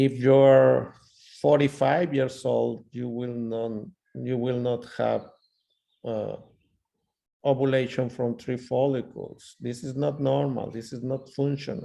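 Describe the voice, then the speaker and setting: A man with a non-native accent talks at a very slow pace, leaving long, frequent pauses. His voice sits at a medium pitch with fairly even intonation. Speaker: ultrasound lecturer. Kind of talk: lecture.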